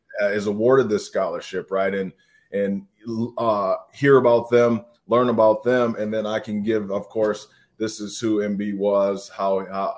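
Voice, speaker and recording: A man with an American accent, a plain, everyday voice, fairly low pitch and moderate pace. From Minnesota. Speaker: former college football player. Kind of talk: casual chat.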